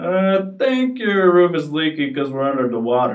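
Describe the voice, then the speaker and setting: In a put-on character voice of middle pitch, the speaker goes at a moderate pace. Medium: read story.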